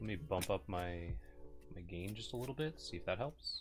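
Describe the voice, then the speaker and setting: Lively intonation at a moderate pace, with music in the background. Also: man, fairly low pitch for a man. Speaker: streamer playing a card game.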